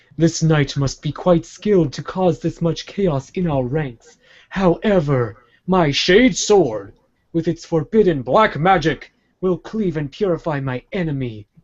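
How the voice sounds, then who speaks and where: In a put-on character voice, a man talks at a fairly slow pace and fairly high pitch with lively intonation. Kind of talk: announcer voice. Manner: pompous, dramatic.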